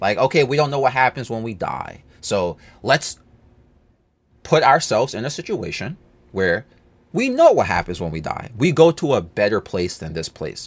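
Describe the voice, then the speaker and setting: A man with a medium pitch and vocal fry talks at a moderate pace with long, frequent pauses. His pitch swings very widely, and the recording is very clean with a silent background. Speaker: YouTuber. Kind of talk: casual chat. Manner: stuttering.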